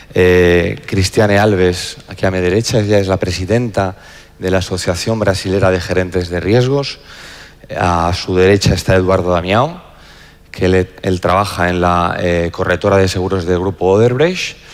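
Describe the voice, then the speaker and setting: A man with a very deep, low voice keeps a moderate pace and a fairly even intonation. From Spain. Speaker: insurance executive and panel moderator. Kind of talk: panel introduction. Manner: halting, frequent repetitions.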